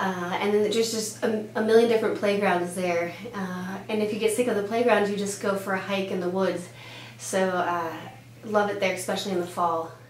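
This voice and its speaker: A woman is speaking in a room with audible echo. Noticeable background noise is present. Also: medium pitch for a woman, ordinary pitch variation. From Denmark. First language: Danish. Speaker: pediatrician. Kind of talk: casual interview answers.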